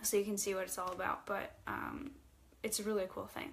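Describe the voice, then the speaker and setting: Fairly even intonation carries over audible room echo. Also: woman. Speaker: spiritual teacher and author. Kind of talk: livestream talk to viewers. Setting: livestream. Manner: halting.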